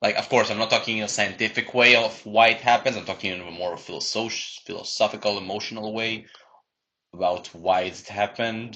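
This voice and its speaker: A man speaks with a fairly low pitch and a bright, sharp tone over a quiet background. His loudness swings widely while his intonation stays fairly even. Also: fairly quick pace. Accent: non-native. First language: not English. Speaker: podcast co-host. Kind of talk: casual chat.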